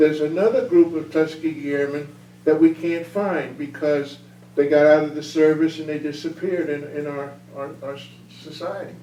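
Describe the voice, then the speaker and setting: His loudness swings widely while his intonation stays fairly even, at a fairly high pitch for a man. The moderate-paced speech comes with noticeable background noise. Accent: American. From US Northeast, northern New Jersey. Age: 80s+. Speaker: war veteran. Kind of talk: Q&A after a talk. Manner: halting.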